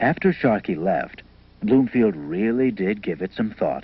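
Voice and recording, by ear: A man's fairly high voice with a slightly husky edge and vocal fry, very wide pitch swings and a fairly slow pace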